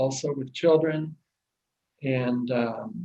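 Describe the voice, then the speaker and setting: In a Midwestern US accent, a man talks at a fairly slow pace and a fairly high pitch. His voice is somewhat breathy, his intonation monotone and flat. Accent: General American, Midwestern. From US Midwest, Kansas. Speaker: church aid worker. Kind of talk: video greeting. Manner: halting, many fillers.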